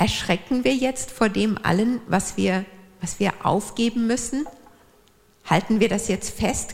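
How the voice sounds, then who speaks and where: Very slow, fairly high-pitched speech from a woman, with ordinary pitch variation under noticeable background noise. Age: 50s. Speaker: church volunteer, speaker. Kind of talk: church talk. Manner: hesitant, many fillers.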